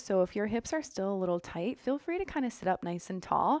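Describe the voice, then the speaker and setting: A woman's calm, relaxed voice with very wide pitch swings, at a fairly quick pace, dry with no echo, over a quiet background. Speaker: yoga instructor. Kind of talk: guided yoga class, cueing poses and breath. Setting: home studio, online video class. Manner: relaxed, upbeat and chatty; calm, rhythmic cueing with short breath-paced commands. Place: home room.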